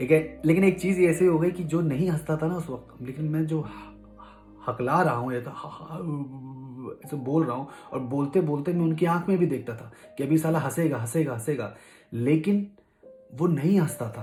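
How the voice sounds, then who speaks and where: Music plays in the background as a man speaks with fairly high pitch. His pitch varies in an ordinary way, broken by long, frequent pauses. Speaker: vlogger. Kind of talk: personal story told to camera.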